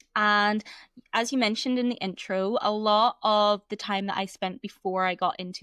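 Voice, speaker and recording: A woman speaks at a moderate pace in a Northern Irish accent. The recording is very clean, with a silent background. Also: dry, close sound with no echo. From Northern Ireland. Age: 30s. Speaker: embodiment coach. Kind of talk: podcast interview.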